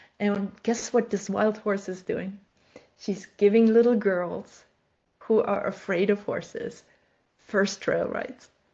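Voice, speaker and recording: A woman's somewhat breathy, medium-pitched voice, monotone and flat at a very slow pace against a quiet background. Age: 60s. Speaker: life coach and horse trainer. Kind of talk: podcast interview conversation.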